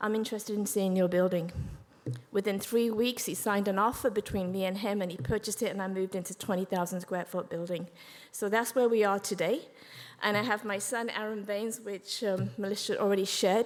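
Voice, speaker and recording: Very rapid speech from a woman in a middle pitch range. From England. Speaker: business owner. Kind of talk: speech to an audience. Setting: stage with audience. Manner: animated.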